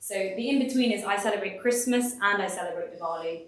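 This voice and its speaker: A woman in a London accent, with ordinary pitch variation and audible room echo. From London, England. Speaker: design consultant and speaker. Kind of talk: presentation talk. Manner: casual, lots of fillers.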